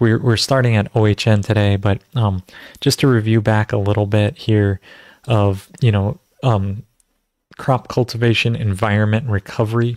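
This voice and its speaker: A man talks at a moderate pace with fairly even intonation and very even loudness. The background is quiet. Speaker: natural farming host. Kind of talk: lecture. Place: home room. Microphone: studio mic.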